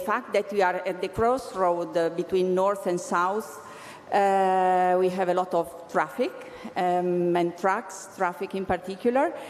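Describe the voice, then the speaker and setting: Medium pitch for a woman, with an Italian accent and audible room echo. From Italy, Bologna. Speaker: regional innovation agency official. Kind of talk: conference presentation. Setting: conference stage with audience. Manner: halting, many fillers and restarts.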